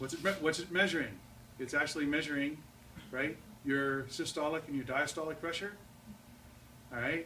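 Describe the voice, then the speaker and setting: A man with a fairly high pitch speaks at a fairly quick pace with long, frequent pauses and ordinary pitch variation, over noticeable background noise and audible room echo. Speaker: physics teacher. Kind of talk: lecture. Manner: loud; animated.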